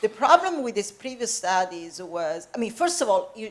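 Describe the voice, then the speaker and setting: A woman with an Italian accent speaks at a moderate pace with lively intonation. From Italy. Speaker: professor. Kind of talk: public lecture conversation.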